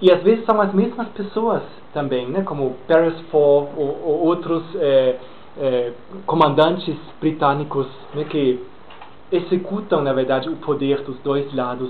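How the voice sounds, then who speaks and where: A man speaks at a fairly slow pace in a fairly high voice with ordinary pitch variation, over noticeable background noise and audible room echo. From Brazil, Minas Gerais. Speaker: lecturer. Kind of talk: lecture Q&A. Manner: deliberately slowed pace; hesitant, many fillers.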